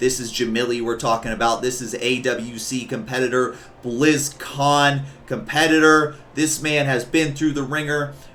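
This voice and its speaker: A man's animated, medium-pitched voice at a moderate pace, with audible room echo. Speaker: streamer and esports commentator. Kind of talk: live commentary.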